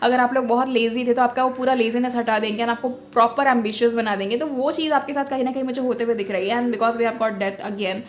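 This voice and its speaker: The delivery is very fast. The intonation stays fairly even. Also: woman, high pitch for a woman. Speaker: tarot reader. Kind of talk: tarot reading monologue. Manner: hesitant fillers, Hindi-English mixing.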